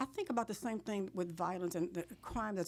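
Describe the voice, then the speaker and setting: This woman has an ordinary speaking voice at a medium pitch. She moves at a fairly quick pace with ordinary pitch variation. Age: 60s. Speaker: politician. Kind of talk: interview.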